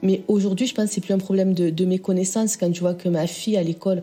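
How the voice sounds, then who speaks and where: Over music in the background, a woman with a Southern French accent talks fairly quickly at a medium pitch. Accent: Southern French, sing-song. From Southern France. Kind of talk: podcast interview answer.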